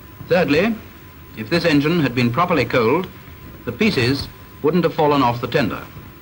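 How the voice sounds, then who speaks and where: A man's fairly high-pitched, stern voice at a fairly quick pace, with lively intonation, long, frequent pauses and noticeable background noise. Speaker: film narrator. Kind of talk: scripted narration. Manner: formal, measured, brisk; stern, instructive, dry.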